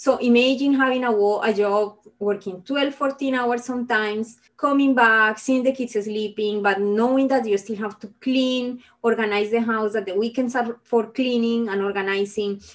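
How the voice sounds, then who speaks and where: A woman speaks at a moderate pace with hardly any pauses. Her voice is fairly high-pitched, with fairly even intonation. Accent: Spanish. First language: Spanish. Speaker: engineer and minimalism advocate. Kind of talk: interview.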